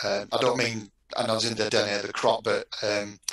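A man speaks with a Yorkshire accent amid audible room echo. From Yorkshire, northern England. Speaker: university textile researcher and lecturer; lecturer. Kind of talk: panel discussion. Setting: online video panel. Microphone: headset.

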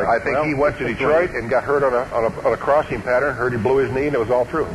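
Noticeable background noise sits behind this man. He speaks very fast with fairly even intonation. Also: medium pitch for a man. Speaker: radio sports-book host. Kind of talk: live sports radio talk.

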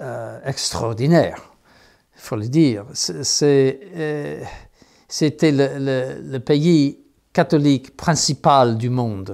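With an American accent, a man of medium pitch talks at a very slow pace with ordinary pitch variation, big swings in loudness and long, frequent pauses against a quiet background. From United States. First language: English (speaking French). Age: 70s. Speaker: bishop. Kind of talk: interview. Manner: halting, many hesitations. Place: office.

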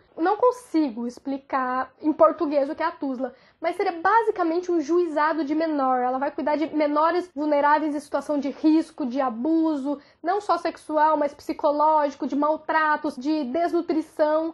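A woman's high-pitched voice at a moderate pace, with ordinary pitch variation, hardly any pauses and a quiet background. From Brazil. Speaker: YouTuber; vlogger. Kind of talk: vlog monologue. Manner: animated. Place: home room. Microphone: phone near.

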